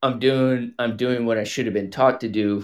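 Here is a man with a plain, everyday voice. He keeps a moderate pace and fairly even intonation. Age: 30s. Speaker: caller, wildland firefighter. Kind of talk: personal call-in conversation.

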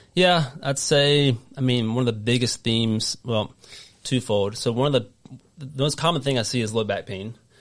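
Against a quiet background, a man with a Southern US accent speaks at a moderate pace. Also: medium pitch for a man, ordinary pitch variation. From North Carolina. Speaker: golf physical therapist. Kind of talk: casual interview chat. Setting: studio.

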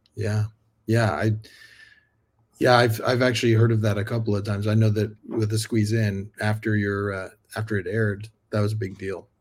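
On a very clean recording with a silent background, a man with an American accent speaks at a fairly low pitch and moderate pace, somewhat breathy and monotone in intonation, with long, frequent pauses. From Sacramento, California. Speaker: podcast host. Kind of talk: casual interview chat.

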